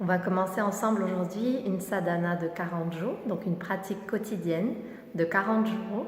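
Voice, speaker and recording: A woman speaks in a calm tone at a moderate pace with fairly even intonation. Noticeable background noise runs underneath. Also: medium pitch for a woman. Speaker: kundalini yoga teacher. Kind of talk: guided meditation instruction. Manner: calm, instructional.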